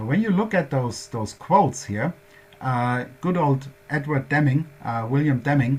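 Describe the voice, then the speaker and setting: A man talks at a fairly slow pace. His voice is fairly high in pitch and somewhat breathy. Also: lively intonation. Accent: German. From Germany. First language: German. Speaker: workshop presenter on quality management. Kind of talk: lecture. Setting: workshop presentation. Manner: halting, many fillers.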